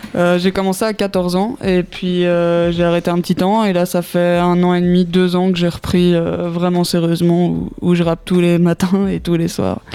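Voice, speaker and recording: Her pitch fairly low, a woman speaks at a moderate pace in a monotone, flat way, keeping her loudness very even and taking hardly any pauses. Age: young. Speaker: youth project participant. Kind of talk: radio interview.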